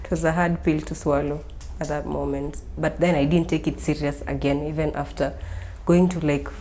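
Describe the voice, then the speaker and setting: Audible room echo and noticeable background noise accompany a woman talking at a moderate speed. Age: 20s. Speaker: university student with type 1 diabetes. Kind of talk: interview testimony.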